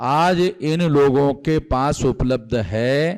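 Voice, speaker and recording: Pitch variation here is ordinary. It comes from an unremarkable speaking voice. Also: man. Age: 60s. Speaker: activist leader. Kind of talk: speech to rally.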